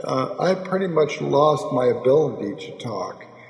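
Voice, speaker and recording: A man's very slow speech is heard with audible room echo. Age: 70s. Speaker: amateur video maker and stroke survivor. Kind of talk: personal monologue. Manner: slurred speech after stroke; halting, with fillers.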